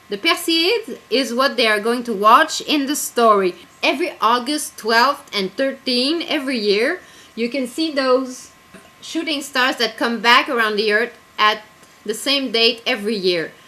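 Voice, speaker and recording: Over noticeable background noise, a woman talks loudly in an animated tone, high-pitched and fairly slow. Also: ordinary pitch variation. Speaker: writer and zine editor. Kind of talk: casual video blog.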